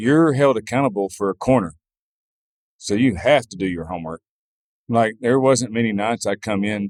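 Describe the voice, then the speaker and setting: A man's medium-pitched voice in a Southern US accent, moderate in pace with long, frequent pauses, dry and close with no echo, on a very clean recording with a silent background. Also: ordinary pitch variation. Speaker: farrier. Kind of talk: interview answer. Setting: outdoors, noisy venue with background music.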